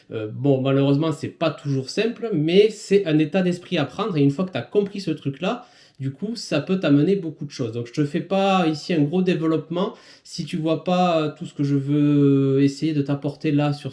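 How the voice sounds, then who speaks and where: Fairly high-pitched man's voice with a dark, mellow tone. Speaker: business coach for small firms and self-employed. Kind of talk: podcast monologue, advice talk. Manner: casual, many hesitations and fillers.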